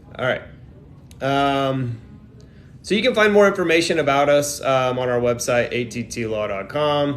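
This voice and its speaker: With an American accent, a man talks at a moderate pace amid audible room echo and music in the background. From Texas. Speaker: immigration attorney. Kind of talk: live Q&A stream. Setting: livestream from airport during flight delay. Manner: casual, filler-heavy.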